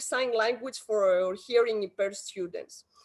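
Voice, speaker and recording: A woman speaks with a Greek accent, her pitch fairly high. She talks at a moderate pace with ordinary pitch variation. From Greece. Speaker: education policy expert. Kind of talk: conference talk.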